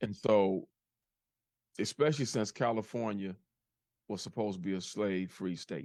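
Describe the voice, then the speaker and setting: On a very clean recording with a silent background, a man with a fairly low pitch talks at a moderate pace with ordinary pitch variation and long, frequent pauses. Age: 60s. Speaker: podcast host. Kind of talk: casual chat. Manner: halting, with many repetitions.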